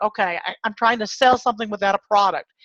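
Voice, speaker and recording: A woman speaks with a plain, everyday voice at a fairly quick pace, her pitch fairly high and her intonation fairly even. The sound is dry and close with no echo, over a quiet background. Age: 60s. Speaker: online marketer and pest control business owner. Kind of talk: webinar presentation.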